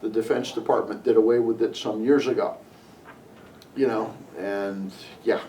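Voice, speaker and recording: A man with an American accent talks at a moderate pace, leaving long, frequent pauses. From Connecticut, US. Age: 60s. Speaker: interviewee sharing local history memories. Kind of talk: oral history interview. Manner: halting, with many fillers and restarts.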